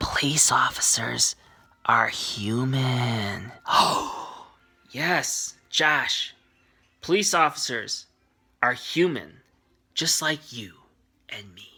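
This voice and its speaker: A man whispers in a breathy, soft-spoken put-on character voice at a very slow pace, with long, frequent pauses, big swings in loudness and music in the background. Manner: whispering, soft and breathy, as if into the listener's ear.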